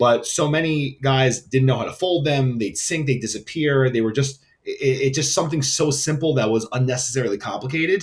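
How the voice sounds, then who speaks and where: Talking at a fairly quick pace with hardly any pauses, a man uses ordinary pitch variation and a New York accent. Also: medium pitch for a man. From New York City (Queens). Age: 30s. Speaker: entrepreneur, brand founder. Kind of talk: interview. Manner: casual, filler-heavy.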